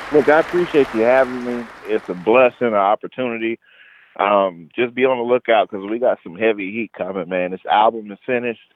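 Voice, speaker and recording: In an unremarkable speaking voice, a man talks at a fairly quick pace and medium pitch with ordinary variation and big swings in loudness, the sound dry and close with no echo. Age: 20s. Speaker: rapper. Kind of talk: casual interview. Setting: phone call.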